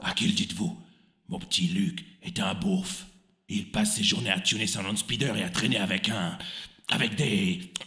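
A raspy, high-pitched male voice at a moderate pace, with long, frequent pauses. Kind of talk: comic parody. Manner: aggrieved, ranting.

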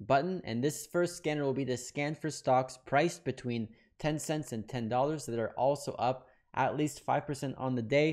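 Against a quiet background, a man speaks at a fairly slow pace. His intonation stays fairly even. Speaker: trading educator. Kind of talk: tutorial. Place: home room. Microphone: studio mic.

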